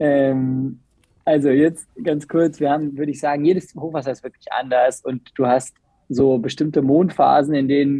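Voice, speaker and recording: Speaking at a fairly slow pace, a man uses a fairly high pitch with a dark, mellow tone. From Bergisches Land, western Germany (Remscheid). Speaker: windsurf and kitesurf school operator. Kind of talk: casual chat.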